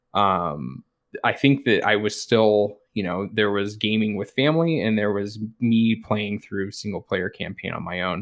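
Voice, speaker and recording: With an ordinary speaking voice, a man talks at a fairly slow pace and fairly low pitch, showing ordinary pitch variation. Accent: General American. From rural Colorado, US. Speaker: twitch streamer. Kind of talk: casual interview chat.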